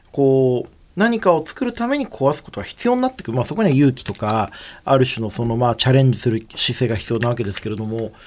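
Very fast delivery with ordinary pitch variation. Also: man, medium pitch for a man. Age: 30s. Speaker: radio host and PR creative director. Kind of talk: radio talk show. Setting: radio studio. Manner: casual, chatty.

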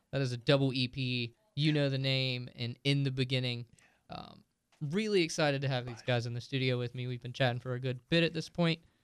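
This man has a plain, everyday voice and a medium pitch. He talks at a fairly quick pace. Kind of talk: radio DJ patter, upbeat station-ID and show plugs.

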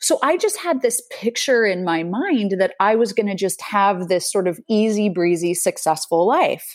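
Speaking with an American accent, a woman uses a normal speaking voice at a medium pitch and moderate pace. Her intonation is lively, with hardly any pauses. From Utah, US. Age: 40s. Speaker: resilience coach. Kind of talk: interview. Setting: remote call.

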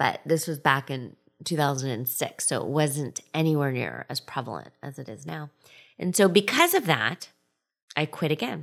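Speaking at a moderate pace, a woman uses a very deep, low pitch with vocal fry and ordinary pitch variation on a very clean recording with a silent background. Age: 40s. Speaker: podcast host and life coach. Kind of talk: casual monologue.

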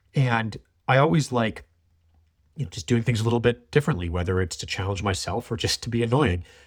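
Somewhat breathy and very fast, the voice carries a Canadian accent on a very clean recording with a silent background. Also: man, medium pitch for a man. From Canada, Toronto area. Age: 30s. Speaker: wildlife filmmaker. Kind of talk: interview conversation. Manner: halting, many repetitions.

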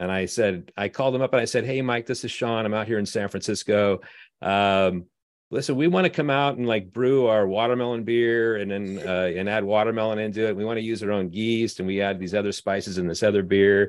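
A man with a normal speaking voice talks at a fairly quick pace and a fairly low pitch. His pitch varies in an ordinary way, and the background is quiet. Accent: American. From Southern California. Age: 30s. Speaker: brewmaster. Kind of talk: casual chat.

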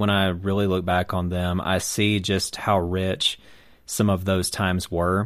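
Very deep and low, a man's voice with an American accent moves at a very slow pace, with monotone, flat intonation and very even loudness. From South Carolina. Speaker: roundtable panelist. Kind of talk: casual chat.

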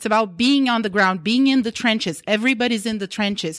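The voice carries a Portuguese accent with ordinary pitch variation. The recording is very clean with a silent background. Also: woman. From Brazil. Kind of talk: group discussion around a table.

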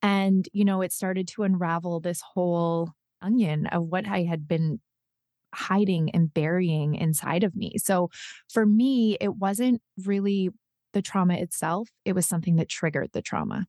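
In a very clean recording with a silent background and a dry, close sound with no echo, a woman with a Western Canadian accent speaks at medium pitch and a moderate pace, her dark, mellow tone and intonation fairly even. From northern British Columbia, Canada. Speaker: podcast host and trauma survivor. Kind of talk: interview.

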